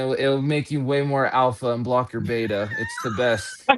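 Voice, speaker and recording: A man with an American accent at medium pitch, moderate pace and fairly even intonation, with noticeable background noise. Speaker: kratom advocate. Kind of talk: casual chat. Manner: halting.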